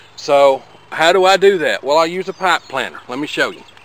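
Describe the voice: A man talks at a fairly quick pace with a fairly high pitch. His intonation is lively.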